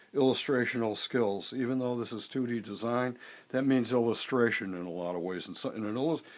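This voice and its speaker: A man with a plain, everyday voice talks at a moderate pace, using medium pitch and ordinary pitch variation. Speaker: design teacher. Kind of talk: drawing tutorial. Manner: casual, conversational.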